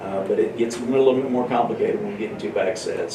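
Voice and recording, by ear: Audible room echo around a man at a fairly low pitch, fairly quick pace and fairly even intonation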